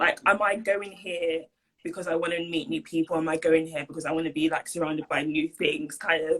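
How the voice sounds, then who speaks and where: Fairly quick speech from a woman with a London accent and ordinary pitch variation. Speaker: university student. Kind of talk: casual interview. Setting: video call. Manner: hesitant, many fillers.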